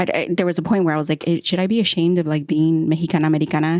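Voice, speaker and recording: A woman's fairly low voice at a very fast pace. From United States, Mexican-American family. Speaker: podcast host. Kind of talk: casual interview conversation. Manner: animated, halting with many restarts.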